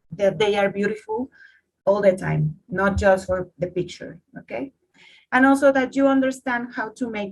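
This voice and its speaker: The voice is somewhat breathy. It carries a Spanish accent. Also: woman. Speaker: coffee competition judge. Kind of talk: online workshop. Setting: video call. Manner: halting, repeats words.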